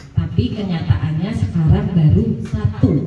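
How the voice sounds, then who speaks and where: A woman speaks at a very deep, low pitch with very wide pitch swings. Noticeable background noise and audible room echo fill the recording. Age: 50s. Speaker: parliamentary candidate. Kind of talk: campaign speech.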